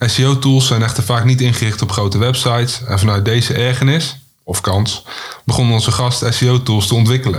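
A man with an unremarkable speaking voice talks at a moderate pace, using fairly even intonation at a medium pitch. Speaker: podcast co-host. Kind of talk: scripted introduction.

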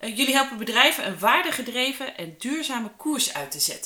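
Amid noticeable background noise, a woman talks at a fairly quick pace. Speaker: podcast host. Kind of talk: interview.

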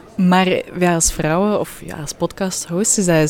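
A woman speaks at a fairly slow pace in a fairly low voice. Noticeable background noise runs behind her. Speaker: podcast host. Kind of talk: interview. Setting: hotel interior.

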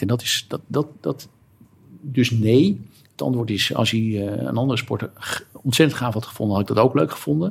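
At a moderate pace, this somewhat breathy voice shows ordinary pitch variation. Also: man. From Netherlands, Alkmaar (North Holland). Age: 50s. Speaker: lawyer and football supporter. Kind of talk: casual chat. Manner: halting, repeats words.

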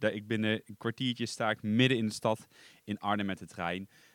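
The speech moves at a moderate pace with fairly even intonation, recorded very cleanly with a silent background and a dry, close sound with no echo. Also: man. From eastern Netherlands. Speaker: podcast host. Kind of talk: scripted-ish solo podcast monologue, casual. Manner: slightly nervous, hesitant with fillers.

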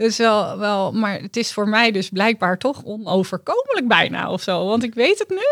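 A woman with an unremarkable speaking voice talks at a moderate pace with hardly any pauses, her fairly high pitch showing ordinary variation. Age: 40s. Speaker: dietitian. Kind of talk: coaching session client.

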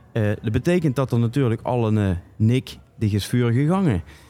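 A man with a dark, mellow tone and medium pitch speaks very slowly, his intonation lively. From Limburg, Netherlands (Sittard). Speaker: podcast host. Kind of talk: casual chat; prank phone call. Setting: studio.

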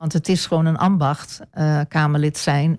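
Speaking at a moderate pace, a woman has a very deep, low pitch, a dark, mellow tone and monotone, flat intonation. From eastern Netherlands (Almelo, Apeldoorn). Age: 60s. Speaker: local politician. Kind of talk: radio interview. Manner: hesitant, many filler sounds.

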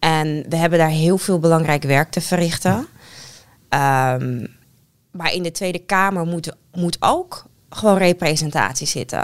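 Fairly slow speech from a woman pitched fairly low, ordinary in its pitch variation. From Netherlands. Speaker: politician. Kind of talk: casual chat. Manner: clear.

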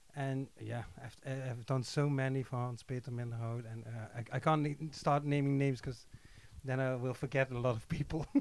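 Speaking fairly quickly in a Dutch accent, a man holds a medium pitch with flat, monotone intonation. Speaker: music composer. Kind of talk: interview. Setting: studio.

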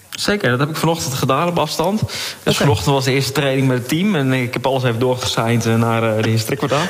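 Over noticeable background noise, a man with a medium-pitched voice speaks very fast, with very even loudness and hardly any pauses. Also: ordinary pitch variation. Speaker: volleyball coach. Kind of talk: interview. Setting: remote connection from home.

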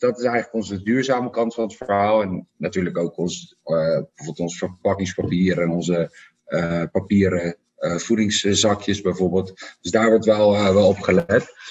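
A man with a fairly low pitch, a plain, everyday voice, a moderate pace and ordinary pitch variation. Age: 30s. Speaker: startup founder. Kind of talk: interview. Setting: office.

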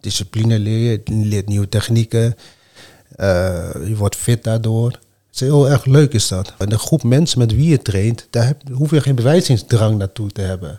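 Calm and dark, mellow in tone, the voice is somewhat breathy, moving at a fairly slow pace with ordinary pitch variation. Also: man, medium pitch for a man. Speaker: martial arts fighter and coach. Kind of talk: casual chat.

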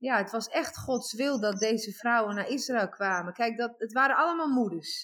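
A woman's fairly high-pitched, normal speaking voice with ordinary pitch variation. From Netherlands, Overijssel. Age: 40s. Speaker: guest telling life story. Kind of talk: testimony. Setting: remote call. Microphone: echo.

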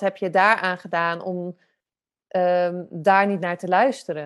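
A woman at medium pitch and a very slow pace, with a slight Zeeland accent. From Zeeland, Netherlands. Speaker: photographer and podcast host. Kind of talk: podcast interview.

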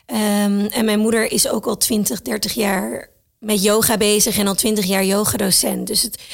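Her pace is very slow. The woman keeps her intonation fairly even. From Thailand and the Netherlands. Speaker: entrepreneur and mother. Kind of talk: casual interview.

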